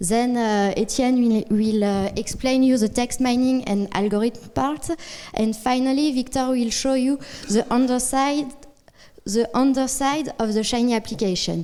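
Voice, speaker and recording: A woman's high-pitched voice at a fairly slow pace, with fairly even intonation and very even loudness. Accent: French. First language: French. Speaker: data science consultant. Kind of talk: conference talk. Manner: halting.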